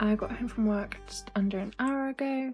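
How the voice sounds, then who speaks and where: A woman's somewhat breathy voice with a dark, mellow tone. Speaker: book vlogger. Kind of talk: casual vlog chat. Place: home room. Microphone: phone near.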